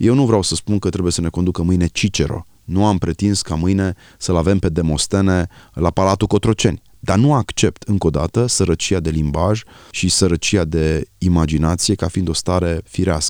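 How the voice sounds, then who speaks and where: Very deep and low, a man's voice comes at a moderate pace in a dry, close sound with no echo on a very clean recording with a silent background. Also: ordinary pitch variation. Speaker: author. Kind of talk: radio interview. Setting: studio.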